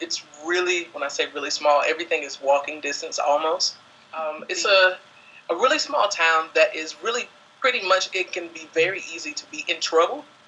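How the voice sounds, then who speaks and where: Speaking at a moderate pace with a Southern US accent, a man uses a high pitch and ordinary pitch variation. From US South (Alabama). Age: 20s. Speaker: dance student. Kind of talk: interview monologue.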